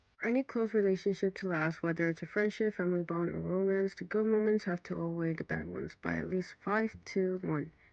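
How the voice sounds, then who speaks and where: A woman talks at a fairly quick pace with hardly any pauses, at a medium pitch. Hers is a plain, everyday voice. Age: 20s. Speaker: lifestyle vlogger. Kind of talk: personal sit-down talk.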